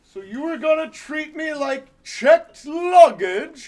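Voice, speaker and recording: Using a put-on character voice with an extremely high pitch, a man speaks at a fairly slow pace. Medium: comedy sketch.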